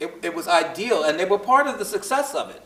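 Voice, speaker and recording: A man with a Brooklyn accent, very wide pitch swings and a fairly quick pace, amid noticeable background noise. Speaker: historian speaker in post-show discussion. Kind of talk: panel talk. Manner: halting, many repetitions.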